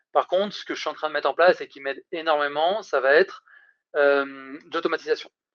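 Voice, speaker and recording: Over a quiet background, a man with a fairly high voice and fairly even intonation swings widely in loudness, recorded dry and close with no echo. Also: fairly quick pace. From France, Isère (between Lyon and Grenoble). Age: 30s. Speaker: recruitment startup founder. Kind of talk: casual interview. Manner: hesitant, many repetitions and fillers.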